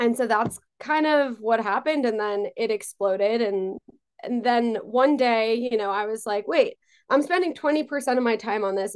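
A woman with an American accent uses a normal speaking voice at a moderate pace, with a fairly high pitch and ordinary pitch variation. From New York, Long Island. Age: 20s. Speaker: talent management founder. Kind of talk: interview.

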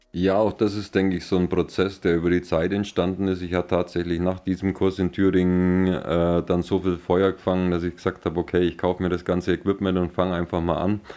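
Very deep and low in pitch, a man talks in a monotone, flat intonation with hardly any pauses. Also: fairly quick pace. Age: 40s. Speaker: glassblower. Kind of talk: interview. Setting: at his workshop.

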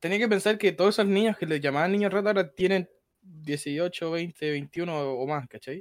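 The recording is very clean, with a silent background. A man with a high pitch talks at a moderate pace, his pitch varying in an ordinary way. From Chile, Santiago. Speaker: streamer. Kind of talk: casual chat.

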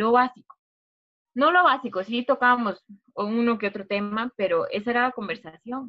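A woman talks at a moderate pace with a high pitch and ordinary pitch variation. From Costa Rica, Turrialba (Cartago). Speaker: university student. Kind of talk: casual chat.

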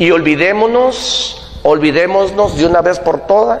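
In a room with audible echo and noticeable background noise, a man speaks very slowly with lively intonation. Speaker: business coach. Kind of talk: motivational talk. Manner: animated.

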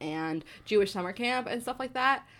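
Speaking with an American accent at a fairly quick pace, a woman has a plain, everyday voice, medium pitch and lively intonation. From New Jersey. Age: 20s. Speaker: podcast co-host, Broadway dresser. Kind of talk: casual chat. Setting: home.

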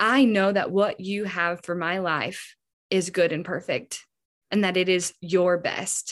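Here a woman speaks at a fairly slow pace. Hers is a normal speaking voice at medium pitch. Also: fairly even intonation, very clean recording, silent background. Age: 20s. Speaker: podcast guest sharing faith testimony. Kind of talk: casual chat.

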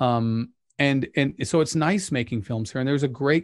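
Speaking with an American accent, a man has an ordinary speaking voice. His pitch sits in the medium range. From Utah, Pleasant Grove. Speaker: documentary filmmaker. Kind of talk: casual chat.

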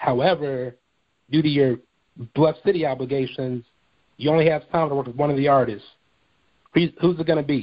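With long, frequent pauses, a man speaks at a moderate pace and fairly even intonation. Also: fairly high pitch for a man. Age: 30s. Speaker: podcast host. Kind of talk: casual interview.

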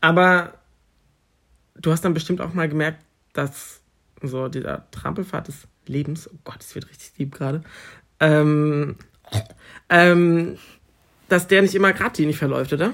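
This man talks fairly slowly at a fairly high pitch, with ordinary pitch variation. His loudness swings widely, and he leaves long, frequent pauses. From northern Germany, near Osnabrück. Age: 20s. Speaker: university student, podcast co-host. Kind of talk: casual chat. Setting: at home.

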